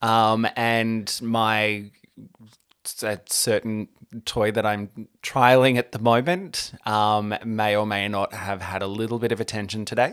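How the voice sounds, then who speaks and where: Fairly slow, fairly even speech in an Australian accent. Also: man, fairly low pitch for a man. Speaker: podcast co-host. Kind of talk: casual chat.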